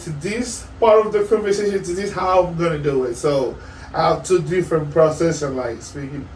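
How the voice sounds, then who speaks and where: The man's voice sits high and carries a Spanish accent. He keeps to a moderate pace. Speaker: podcast co-host. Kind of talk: casual chat. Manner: halting.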